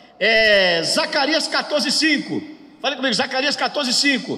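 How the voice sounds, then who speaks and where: An extremely high-pitched man's voice is raised and projected, with audible room echo and noticeable background noise. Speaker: pastor teaching a workshop. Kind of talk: bible lecture. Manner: call-and-response with audience.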